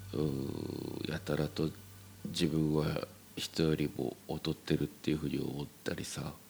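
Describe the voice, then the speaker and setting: His voice is very deep and low, delivered in a monotone with flat intonation. The man speaks at a fairly slow pace. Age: 40s. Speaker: podcast host. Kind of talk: solo monologue. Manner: halting.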